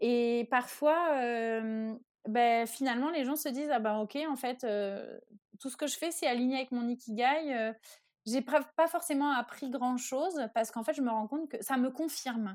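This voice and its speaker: A woman speaks in a high voice with ordinary pitch variation. The recording is very clean, its background silent. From France. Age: 30s. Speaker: life and career coach. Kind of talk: interview, explanatory.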